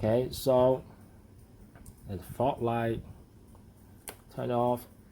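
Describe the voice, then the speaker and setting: A man with a non-native accent, medium pitch, and a dark, mellow tone, in a monotone, flat delivery at a very slow pace. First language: not English. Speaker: hobbyist model builder. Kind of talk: tutorial. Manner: halting.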